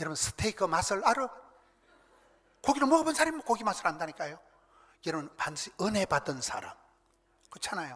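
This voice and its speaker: Bright, sharp male voice at a fairly quick pace, with very wide pitch swings. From South Korea, rural countryside. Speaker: pastor. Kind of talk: sermon. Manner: animated.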